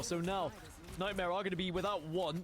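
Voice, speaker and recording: Through noticeable background noise, a man with an English accent speaks high-pitched at a fairly quick pace. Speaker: esports caster. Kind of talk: live commentary.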